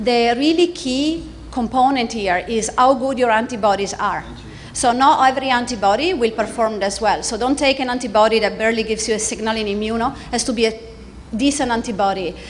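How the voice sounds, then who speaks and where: Over noticeable background noise and audible room echo, a woman speaks at a fairly high pitch with ordinary pitch variation. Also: fairly quick pace. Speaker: neuroscience professor. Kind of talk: lecture. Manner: fast; hesitant, many fillers.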